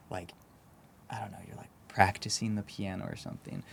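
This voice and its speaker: Over a silent background in a very clean recording, a man with a Texan accent talks at a fairly quick pace. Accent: Texan American. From Texas, San Antonio. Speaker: startup founder. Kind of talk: podcast interview. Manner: halting, many fillers and repeats.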